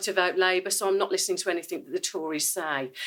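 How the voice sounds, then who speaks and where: A woman speaks with a strong Brummie accent. Her tone is bright and sharp. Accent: thick Brummie. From Birmingham, West Midlands, England. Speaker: police detective, cyber security speaker. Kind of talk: conference presentation. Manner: casual, chatty.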